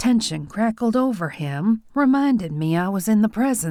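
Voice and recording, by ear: The intonation turns lively as the speaker is reading aloud in a natural voice.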